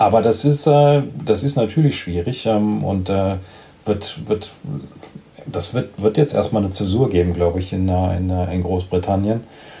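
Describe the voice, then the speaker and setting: Noticeable background noise sits behind a man's fairly low voice. He speaks at a fairly slow pace with ordinary pitch variation. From Germany, Badische Bergstraße. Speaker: truck industry manager. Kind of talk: casual interview. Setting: remote call. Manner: halting, repeats words.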